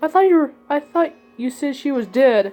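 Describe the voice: Putting on a shaky character voice, a woman speaks at a moderate pace with a high pitch.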